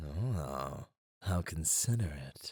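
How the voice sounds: In a put-on character voice, a man drops to an extremely low pitch with a slightly mellow tone and slightly husky edge, speaking slowly with lively intonation over a very clean recording with a silent background.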